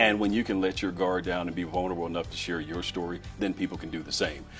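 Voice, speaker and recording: With music in the background, a man with a very deep, low voice speaks at a very fast pace. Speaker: keynote speaker. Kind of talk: interview answer.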